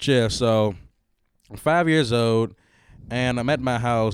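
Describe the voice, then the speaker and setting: A man's medium-pitched voice at a moderate pace. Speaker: podcast host. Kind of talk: casual chat. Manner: put-on radio voice at start, fades; animated.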